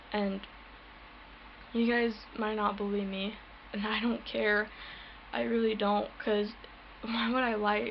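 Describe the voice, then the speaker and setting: A soft-spoken woman talks in a monotone with flat intonation. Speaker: paranormal vlogger. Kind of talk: personal testimony vlog. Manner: halting.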